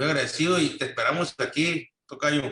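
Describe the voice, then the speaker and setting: With a bright, sharp tone, this man talks at a medium pitch. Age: 60s. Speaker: implant dentist. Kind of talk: interview. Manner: halting.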